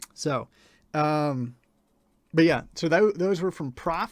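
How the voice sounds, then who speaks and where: With an American accent, a man speaks at a fairly slow pace and with ordinary pitch variation. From rural Ohio, US Midwest. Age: 20s. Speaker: music reviewer and livestreamer. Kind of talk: casual livestream chat with audience. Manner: halting, many fillers.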